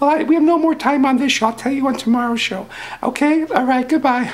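A cartoonish character voice, pitched high, moves at a fairly quick pace over light background noise. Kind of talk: children's TV puppet comedy. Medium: puppet show.

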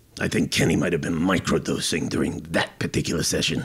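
A cartoonish character voice from a man, very deep and low in pitch, raspy, and delivered at a very fast pace. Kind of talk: comedy podcast banter. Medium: puppet.

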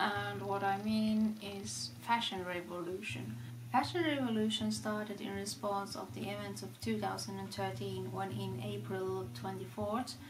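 A woman with a non-native accent talks with hardly any pauses. Noticeable background noise runs behind her. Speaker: fashion vlogger. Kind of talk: casual talk to camera. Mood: enthusiastic. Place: home room.

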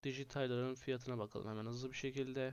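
A man's medium-pitched voice with flat, monotone intonation. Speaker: fantasy football gaming YouTuber. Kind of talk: casual video commentary. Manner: hesitant with frequent filler sounds.

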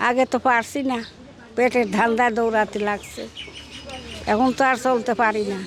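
Fairly high-pitched woman's voice in a flat monotone, very even in loudness, with noticeable background noise. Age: old. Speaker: village amulet and herbal healer. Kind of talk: interview.

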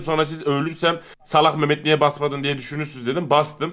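A man talks at a moderate pace. He uses a normal speaking voice. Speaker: online game player. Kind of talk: casual chat. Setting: video call. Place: home room.

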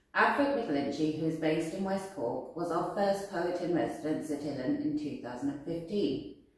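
With strong room echo, a woman with a fairly low pitch speaks at a moderate pace with lively intonation and hardly any pauses. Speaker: arts centre staff. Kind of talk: event introduction. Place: home room.

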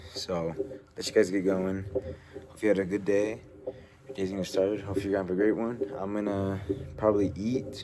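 A fairly low-pitched man at a fairly quick pace over noticeable background noise. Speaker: fitness vlogger. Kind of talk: casual vlog talk to camera. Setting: home gym. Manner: casual, rambling with fillers.

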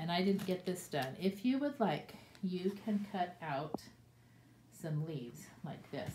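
Somewhat breathy, a woman speaks at a very slow pace against noticeable background noise. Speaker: teacher. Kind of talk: tutorial for young children. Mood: warm, cheerful. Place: classroom. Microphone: phone near.

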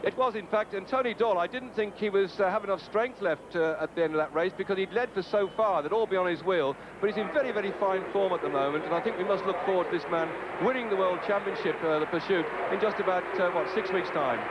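An excited man, high in pitch with ordinary variation, at a very fast pace amid noticeable background noise. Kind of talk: live cycling commentary. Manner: brisk, excited race-calling as the action unfolds.

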